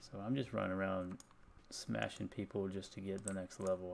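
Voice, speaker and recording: This soft-spoken voice moves at a fairly quick pace. The words come out softly. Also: man. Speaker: video game streamer. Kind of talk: casual chat. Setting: home at night, live stream.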